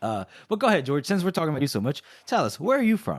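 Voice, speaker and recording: A man with an American accent speaks very fast, his fairly high pitch swinging very widely. The recording is very clean, with a silent background. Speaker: podcast co-host. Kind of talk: casual chat.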